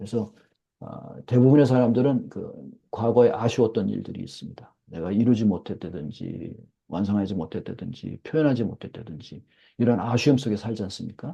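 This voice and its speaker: Somewhat breathy with a dark, mellow tone, a man speaks at medium pitch with ordinary pitch variation and big swings in loudness. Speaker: professor. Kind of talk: lecture. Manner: fast.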